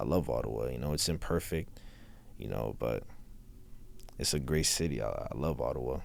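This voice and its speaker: With an American accent, a man speaks at a moderate pace in a very deep, low voice with vocal fry. Long, frequent pauses break his speech, and audible room echo surrounds it. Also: ordinary pitch variation. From US South. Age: 20s. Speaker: rapper. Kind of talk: interview.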